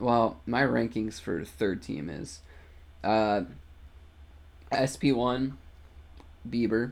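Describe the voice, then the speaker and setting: With long, frequent pauses and a very slow pace, a man speaks at a fairly low pitch with vocal fry and very wide pitch swings. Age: 20s. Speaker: podcast host. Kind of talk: casual chat.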